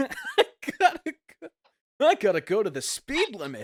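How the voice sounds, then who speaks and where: Using a nasal, put-on character voice at a fairly high pitch, the speaker goes at a moderate pace. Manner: energetic.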